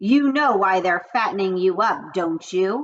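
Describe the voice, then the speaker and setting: Put-on character voice from a woman at medium pitch, at a moderate pace. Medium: read story. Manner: blunt, matter-of-fact.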